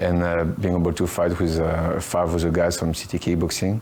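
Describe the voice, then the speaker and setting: A man speaks with a French accent at a fairly quick pace. His very deep, low voice stays monotone and flat. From France. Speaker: professional fighter. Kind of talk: interview. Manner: hesitant, many fillers.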